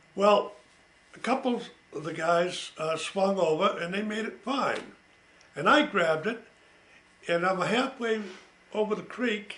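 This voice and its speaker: A high-pitched man at a fairly slow pace, long and frequent pauses, ordinary pitch variation, noticeable background noise. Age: 80s+. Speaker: World War II veteran. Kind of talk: family oral history recollection. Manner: casual, conversational.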